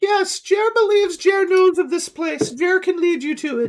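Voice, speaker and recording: Doing a put-on character voice, a man talks at a moderate pace in a squeaky, extremely high pitch. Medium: actual play. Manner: broken speech, third person.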